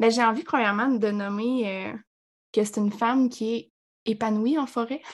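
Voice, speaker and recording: A woman speaks at a fairly high pitch and a fairly slow pace. Her intonation stays fairly even. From Quebec, Abitibi. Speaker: sports nutritionist. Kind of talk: podcast interview.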